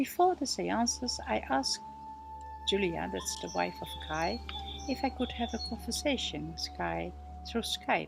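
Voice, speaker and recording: With music in the background, the speaker talks at a fairly slow pace in a Dutch accent. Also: woman. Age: 60s. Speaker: medium and paranormal researcher. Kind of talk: monologue introduction.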